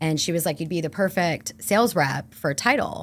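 A woman with an American accent and a fairly low pitch has a plain, everyday voice with ordinary pitch variation, on a very clean recording with a silent background. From Brandon, Florida. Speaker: realtor. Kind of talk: casual chat.

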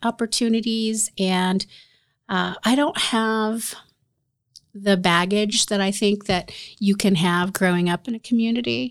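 A woman's normal speaking voice with an American accent, medium in pitch with ordinary variation, at a fairly slow pace. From California and Indiana, military family. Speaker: realtor. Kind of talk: casual interview chat.

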